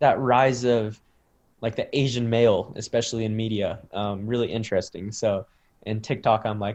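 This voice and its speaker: A man with a General American accent speaks in a plain, everyday voice at medium pitch. His intonation is fairly even and his pace moderate. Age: 20s. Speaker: content creator. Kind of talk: interview. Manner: casual, many fillers.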